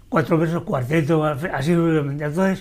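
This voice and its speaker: A man with an Andalusian accent, fairly high pitch, and a fairly quick pace. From Andalusia, Spain (Andújar, Jaén). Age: 70s. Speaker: poet. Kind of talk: interview. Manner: halting, with repetitions.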